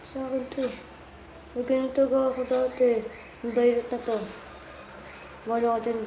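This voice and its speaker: Speaking softly at a moderate pace, a woman is heard with audible room echo and noticeable background noise. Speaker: gaming youtuber. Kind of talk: gameplay commentary. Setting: playing on tablet. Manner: soft-spoken.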